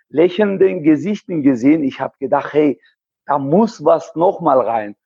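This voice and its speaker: With lively intonation, a man with a high voice speaks at a fairly slow pace. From Germany, Heilbronn. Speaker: amateur triathlete and race organizer. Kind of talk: interview. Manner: halting, many hesitations.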